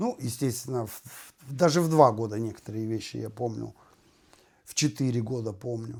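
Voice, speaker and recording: Here a man with an unremarkable speaking voice talks at a medium pitch and moderate pace, with ordinary pitch variation and big swings in loudness. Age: 50s. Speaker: renovation worker and video blogger. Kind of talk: casual monologue.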